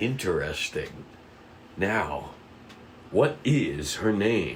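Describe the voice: A man's low, put-on character voice with big pitch swings, very slow pace and audible room echo.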